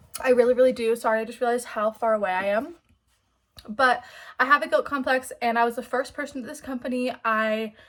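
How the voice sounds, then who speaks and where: A very fast, high-pitched woman's voice with fairly even intonation and big swings in loudness, on a very clean recording with a silent background. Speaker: book vlogger. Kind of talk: casual vlog talk.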